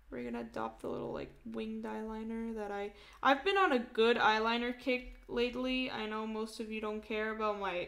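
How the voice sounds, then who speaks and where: A loud woman's voice at a moderate pace with hardly any pauses, over noticeable background noise. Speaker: art live streamer. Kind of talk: casual live stream chat while drawing. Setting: live stream. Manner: animated.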